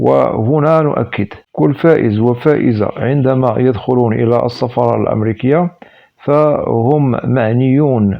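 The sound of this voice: A man's medium-pitched voice with vocal fry, ordinary pitch variation and a moderate pace.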